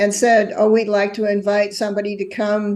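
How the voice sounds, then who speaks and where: A woman is speaking here. Her pitch sits fairly high. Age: 70s. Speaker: actuary and energy blogger. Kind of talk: podcast interview.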